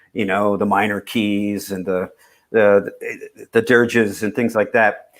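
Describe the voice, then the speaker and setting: A plain, everyday voice comes through on a very clean recording with a silent background. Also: man. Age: 60s. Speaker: singer-songwriter. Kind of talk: casual chat.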